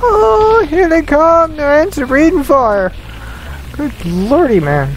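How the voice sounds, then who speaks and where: Over clear background noise, a put-on character voice moves at a fairly slow pace. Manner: excited, alarmed.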